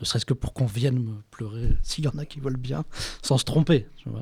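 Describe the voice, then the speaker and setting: Somewhat breathy and dark, mellow in tone, a man speaks at a moderate pace with fairly even intonation. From France. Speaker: writer. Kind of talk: interview. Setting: bookshop event. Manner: halting.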